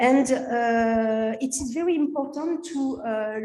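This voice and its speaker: A woman with a French accent, her high pitch and ordinary pitch variation carried in a dark, mellow tone amid audible room echo. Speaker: physician and researcher. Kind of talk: conference presentation. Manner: halting, many fillers.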